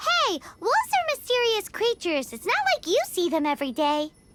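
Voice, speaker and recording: A put-on character voice, squeaky and extremely high in pitch. It moves at a fairly quick pace with very wide pitch swings. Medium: video game. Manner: confident, hasty, slightly bluffing.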